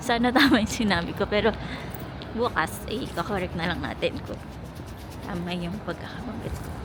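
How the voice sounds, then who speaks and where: A woman talks at a moderate pace and medium pitch, with ordinary pitch variation and long, frequent pauses. Noticeable background noise runs underneath. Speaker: travel vlogger. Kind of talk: travel vlog narration. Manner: lowered voice.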